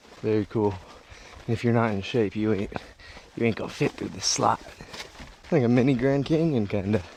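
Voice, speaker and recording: Over noticeable background noise, a man with a medium pitch and ordinary pitch variation speaks at a fairly quick pace, broken by long, frequent pauses. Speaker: travel vlogger. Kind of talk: casual vlog narration. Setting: outdoors. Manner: kept relatively quiet.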